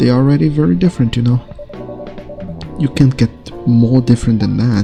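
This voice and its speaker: With music in the background, a soft-spoken man talks at a fairly quick pace and a medium pitch, his loudness very even and his pitch variation ordinary. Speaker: gaming ASMR streamer. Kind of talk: reading game dialogue aloud.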